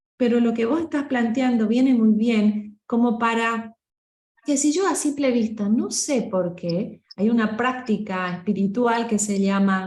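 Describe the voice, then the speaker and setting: A woman with a Rioplatense accent speaks at a fairly slow pace in a fairly high pitch. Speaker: voice coach. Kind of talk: workshop discussion. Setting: group meeting.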